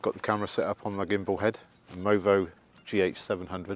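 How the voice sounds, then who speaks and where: Over light background noise, a man speaks at a fairly low pitch with a dry sound and no echo. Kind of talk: casual vlog chat. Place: open country. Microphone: phone near.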